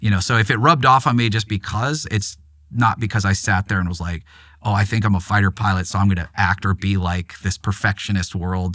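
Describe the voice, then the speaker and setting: A man with an American accent, fairly low in pitch, with a bright, sharp tone, ordinary pitch variation and a fairly quick pace, on a very clean recording with a silent background. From Los Angeles, US. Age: 50s. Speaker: aviation photojournalist and author. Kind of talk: podcast interview. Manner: casual, rambling with fillers.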